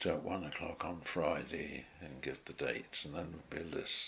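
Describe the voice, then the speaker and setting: The speaker uses a southern English accent with vocal fry. The pace is moderate, with ordinary pitch variation. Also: man. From Tunbridge Wells, Kent, England. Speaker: retired teacher. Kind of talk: life history interview narration.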